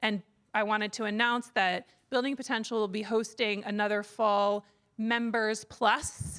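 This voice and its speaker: At a fairly slow pace, a woman speaks in a fairly high, monotone voice with flat intonation. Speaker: conference organizer, executive director. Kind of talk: closing remarks at a conference. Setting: conference stage with live audience. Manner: loud; hesitant, many fillers.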